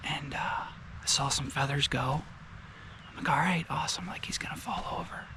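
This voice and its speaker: A man whispers with long, frequent pauses. Noticeable background noise and audible room echo surround him. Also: moderate pace. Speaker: hunter and vlogger. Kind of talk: casual vlog narration. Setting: outdoors. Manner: soft-spoken.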